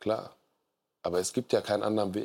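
On a very clean recording with a silent background, a man speaks at a moderate pace with a fairly low pitch, ordinary pitch variation and a dark, mellow tone. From Germany, Siegburg area. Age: 30s. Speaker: podcaster and poetry slammer. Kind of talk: talk show discussion. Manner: casual, colloquial.

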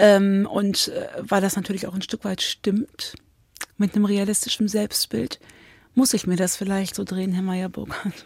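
A woman speaks at a fairly slow pace in a medium pitch, somewhat breathy, with fairly even intonation and a dry, close sound with no echo. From Cologne, Germany. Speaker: author. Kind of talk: interview.

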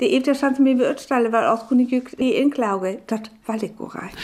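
Noticeable background noise sits behind a woman's voice. Her high pitch shows ordinary variation at a moderate pace. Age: 60s. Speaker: biologist and former teacher. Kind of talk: radio interview in Frisian.

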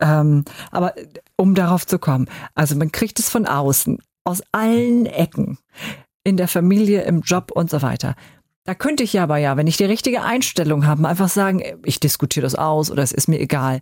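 Dry and close with no echo, a woman's fairly low-pitched voice moves at a moderate pace with lively intonation, very even loudness, and long, frequent pauses. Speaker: podcast host. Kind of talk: scripted outro; interview.

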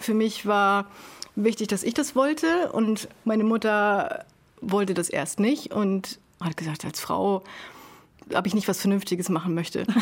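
Here a woman talks at a moderate pace and medium pitch with lively intonation. She has an unremarkable speaking voice. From northern Germany, Sylt. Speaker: carpenter. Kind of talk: casual chat. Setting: over lunch.

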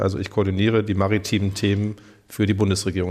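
A man with a fairly low pitch and a dark, mellow tone talks very fast. His intonation is monotone and flat. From Germany, Rhineland-Palatinate (Pirmasens). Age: 40s. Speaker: politician, federal maritime coordinator. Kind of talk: radio interview. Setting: government office.

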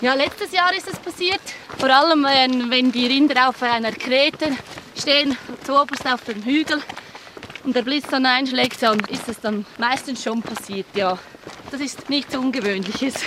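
A woman's high-pitched, raised and projected voice with a Swiss accent, ordinary pitch variation, a fairly slow pace, long and frequent pauses, and noticeable background noise. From central Switzerland, canton Schwyz. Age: young. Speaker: mountain hut operator. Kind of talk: on-location interview.

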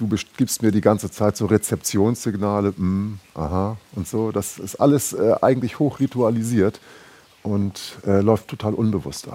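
The man's voice has a dark, mellow tone, fairly low pitch and ordinary pitch variation. He leaves long, frequent pauses, and his loudness swings widely. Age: 50s. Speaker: linguist and DJ, festival organiser. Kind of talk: casual interview. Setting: festival venue building.

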